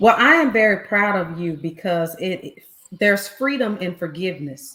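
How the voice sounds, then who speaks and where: A woman at a moderate pace. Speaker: podcast co-host. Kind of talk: casual chat. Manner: loud.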